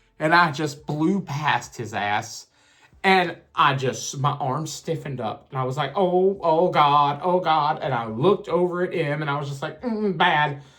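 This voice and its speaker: With a Southern US accent, a man talks fairly slowly in an animated tone at a fairly high pitch. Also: ordinary pitch variation. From Alabama, US South. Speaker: storyteller, content creator. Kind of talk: casual storytelling.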